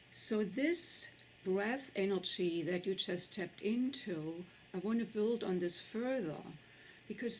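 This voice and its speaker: The speech comes at a fairly slow pace in a German accent. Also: woman. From Germany. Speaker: tantra teacher and author. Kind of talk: summit talk.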